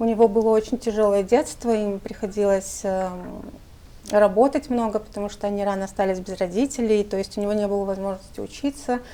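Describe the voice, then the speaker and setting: A woman speaks with a dark, mellow tone at medium pitch. Her intonation stays fairly even. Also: fairly quick pace. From Moldova, Gagauzia. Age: 40s. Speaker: journalist and writer. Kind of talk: interview. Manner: hesitant fillers.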